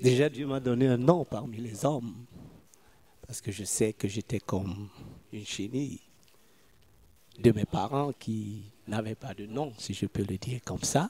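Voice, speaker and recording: A man with a medium pitch talks at a fairly slow pace in a dark, mellow, somewhat breathy tone, the sound dry and close with no echo. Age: 60s. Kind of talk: testimony.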